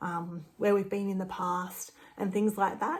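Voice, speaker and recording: This is a woman speaking. She has an Australian accent and keeps a moderate pace. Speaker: travel agent. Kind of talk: casual talk to camera.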